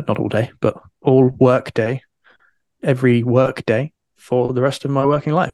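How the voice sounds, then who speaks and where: Pausing long and often, a man talks at a moderate pace in a medium pitch with fairly even intonation, the sound dry and close with no echo. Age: 30s. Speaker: freelance writer and author. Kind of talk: interview.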